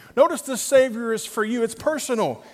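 The voice belongs to a man and is extremely high in pitch. Its pitch variation is ordinary. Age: 40s. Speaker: pastor. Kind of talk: sermon. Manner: animated.

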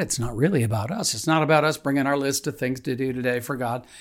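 A man speaks in a warm, somewhat breathy tone on a very clean recording with a silent background. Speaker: pastor. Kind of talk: devotional reading and prayer. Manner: halting, with frequent fillers; warm, earnest, conversational.

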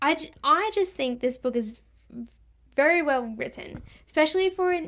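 A woman talks with lively intonation. She has an Australian accent. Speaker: podcast host and book reviewer. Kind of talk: casual book review podcast, solo. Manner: stumbling, repeats words; casual, chatty, self-deprecating.

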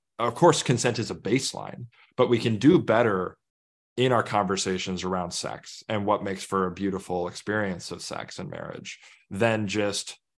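A man with an unremarkable speaking voice, fairly low pitch and ordinary pitch variation, at a moderate pace against a quiet background. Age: 30s. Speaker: author and minister. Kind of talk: interview.

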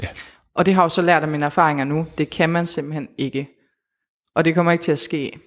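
Speech moves at a fairly quick pace, broken by long, frequent pauses. The intonation is fairly even. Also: woman, very deep, low pitch for a woman. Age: 20s. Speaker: guest sharing life with PTSD. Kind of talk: personal testimony interview. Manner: hesitant, many fillers.

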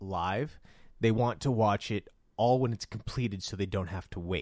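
An unremarkable speaking voice from a man of medium pitch, he talks at a moderate pace with lively intonation, the sound dry and close with no echo. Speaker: podcast co-host. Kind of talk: casual chat.

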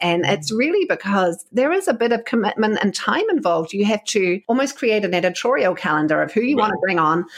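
A woman with a New Zealand accent, very fast and with hardly any pauses, her intonation lively and her loudness very even. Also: medium pitch for a woman. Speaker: podcast host and communications coach. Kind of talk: interview.

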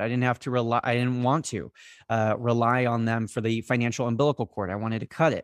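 A man with an American accent uses a normal speaking voice at a medium pitch and a fairly quick pace. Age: 20s. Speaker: former college football player, social media marketer. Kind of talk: podcast interview.

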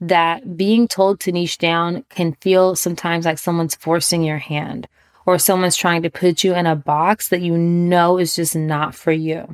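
A woman's fairly low voice at a moderate pace, recorded very cleanly with a silent background and a dry, close sound with no echo. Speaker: podcast host and business coach. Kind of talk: solo podcast monologue. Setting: home recording in bedroom. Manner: relaxed.

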